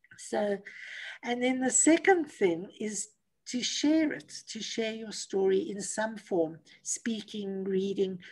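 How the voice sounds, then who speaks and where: Breathing somewhat audibly, a woman speaks at a very slow pace in a fairly high pitch, with lively intonation and big swings in loudness. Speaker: motivational speaker and coach; motivational speaker, coach. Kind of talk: interview. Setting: video call. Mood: warm, encouraging. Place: home room. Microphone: video call.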